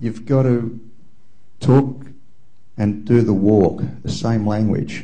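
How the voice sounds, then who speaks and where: A man speaks very slowly with an Australian accent, a medium pitch and a dark, mellow tone. His intonation stays fairly even, and audible room echo surrounds the voice. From Australia (Melbourne). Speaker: audience member at symposium. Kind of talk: audience comment in open discussion.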